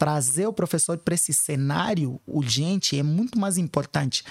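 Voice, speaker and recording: A man's plain, everyday voice, fairly high in pitch, with lively intonation at a moderate pace, dry and close with no echo. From Africa (Angola / São Tomé and Príncipe). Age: 30s. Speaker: educational activist. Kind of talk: interview.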